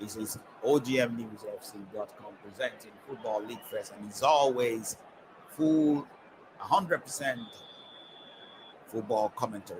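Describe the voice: A man's fairly low voice moves at a fairly slow pace, slightly mellow in tone with ordinary pitch variation.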